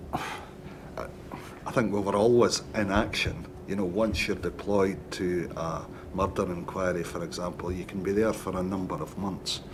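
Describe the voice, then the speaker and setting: A man's very deep, low voice in a Scottish accent, moderate in pace and monotone, flat in intonation, with audible room echo and noticeable background noise. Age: 60s. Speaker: retired police detective. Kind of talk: witness testimony. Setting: public inquiry hearing.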